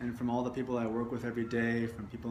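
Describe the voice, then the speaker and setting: This man's voice sits at a medium pitch, with noticeable background noise around it. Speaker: meditation guide. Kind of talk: guided meditation.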